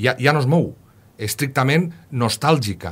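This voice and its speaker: There is some breathiness in this man's voice. His intonation is lively. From Castelló, Valencian Country; Valencian Country. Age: 40s. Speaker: historian, university professor; university professor. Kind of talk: radio interview. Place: studio.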